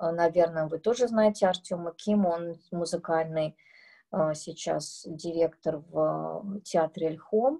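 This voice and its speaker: A woman's dark, mellow voice, fairly low in pitch, with ordinary pitch variation and a very slow pace, against a quiet background. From Uzbekistan, Tashkent. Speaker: composer. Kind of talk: masterclass talk to students. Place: home room. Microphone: phone near.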